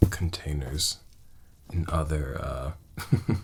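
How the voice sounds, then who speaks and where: A soft-spoken voice with ordinary pitch variation talks at a very slow pace. Noticeable background noise runs underneath. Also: man. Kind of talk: ASMR soft-spoken talk to camera.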